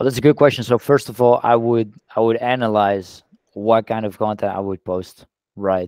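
A man speaks in a Dutch accent at a moderate pace with fairly even intonation. The sound is dry with no echo, and the background is quiet. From Netherlands. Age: 20s. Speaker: social media influencer. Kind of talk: casual interview. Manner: halting, with repeated words. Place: home room. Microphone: headset.

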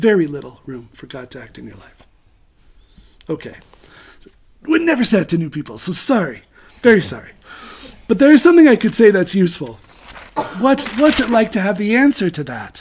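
A man at a fairly quick pace, broken by long, frequent pauses. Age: 50s. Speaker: spiritual teacher. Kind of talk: lecture. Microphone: webcam.

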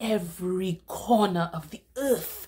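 Very slowly and somewhat breathily, a woman speaks in a dark, mellow, dramatic and solemn tone with lively intonation. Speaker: poetry reader. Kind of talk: spoken word poetry reading of a protest poem. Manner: measured, declamatory cadence with dramatic emphasis; solemn and accusatory, building rhetorical intensity. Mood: indignant, impassioned. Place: home room. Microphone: webcam.

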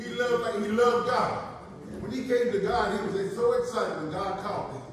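The recording has noticeable background noise and strong room echo. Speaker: pastor giving eulogy. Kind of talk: eulogy sermon. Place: church. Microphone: pa.

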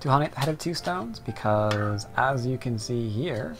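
A man speaks at a moderate pace while music plays clearly in the background. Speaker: go teacher. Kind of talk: tutorial.

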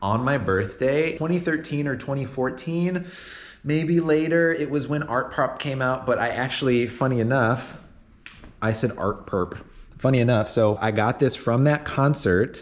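The man's pitch variation is ordinary. He speaks at a fairly slow pace. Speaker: vlogger. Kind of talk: casual vlog chat. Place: home room. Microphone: phone near.

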